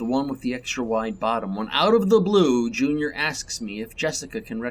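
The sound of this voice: An unforced reading voice is heard. The text is read without strain.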